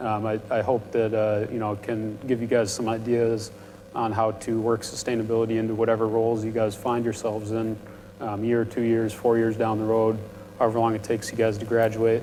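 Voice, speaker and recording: A man mumbling in an American accent at medium pitch, fairly quick and monotone with flat intonation. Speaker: panel speaker, industrial engineer. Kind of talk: panel talk to students. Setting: university event with audience. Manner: prone to mumbling.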